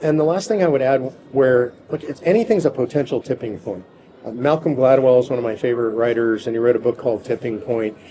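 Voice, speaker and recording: With ordinary pitch variation and a medium pitch, a man talks at a very fast pace. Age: 60s. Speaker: political activist leader. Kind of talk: interview.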